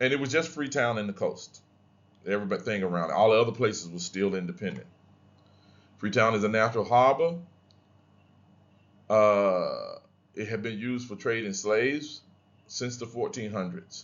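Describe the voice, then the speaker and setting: With an American accent, a man speaks at medium pitch and a moderate pace, showing ordinary pitch variation. Long pauses come often. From US Deep South, Louisiana. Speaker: history professor. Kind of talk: lecture. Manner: casual, conversational.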